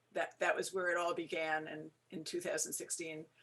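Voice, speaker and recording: Her voice sits fairly low for a woman, with an American accent. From New York. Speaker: law professor and former judge. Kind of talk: presentation. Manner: fast.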